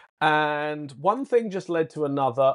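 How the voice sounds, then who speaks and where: A man with a British accent and a fairly high pitch, dry and close with no echo, over a quiet background. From Britain. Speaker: points and miles consultant. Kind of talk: podcast interview.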